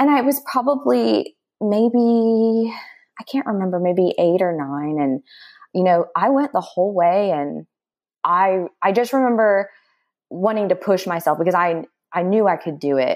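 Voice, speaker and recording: At a fairly slow pace, a woman's medium-pitched voice moves through very wide pitch swings. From Texas, Dallas. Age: 30s. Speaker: distance runner. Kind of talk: casual interview.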